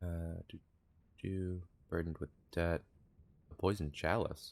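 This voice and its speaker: A soft-spoken man talks at a moderate pace. His pitch is very deep and low, and his intonation is monotone and flat. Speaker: video game streamer. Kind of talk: live gameplay stream commentary.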